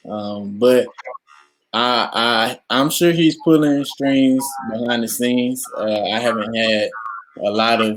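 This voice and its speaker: A man in a normal speaking voice, at a fairly slow pace with ordinary pitch variation. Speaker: college football player. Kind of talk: interview. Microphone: poor sound quality from technical difficulties.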